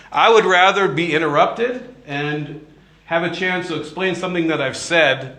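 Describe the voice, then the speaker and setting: A man talks with lively intonation, his voice carrying audible room echo amid noticeable background noise. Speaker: priest giving a retreat talk. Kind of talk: retreat talk to live audience. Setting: retreat hall with audience. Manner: mumbling; casual with many fillers.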